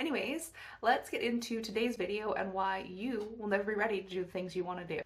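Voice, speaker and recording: Somewhat breathy and fairly high-pitched, a woman speaks at a very fast pace. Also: ordinary pitch variation. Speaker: lifestyle vlogger. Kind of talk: casual vlog monologue.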